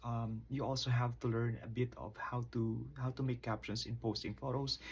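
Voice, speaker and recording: The voice is somewhat breathy, with monotone, flat intonation, at a moderate pace with hardly any pauses. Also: man. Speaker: college instructor. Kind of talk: lecture.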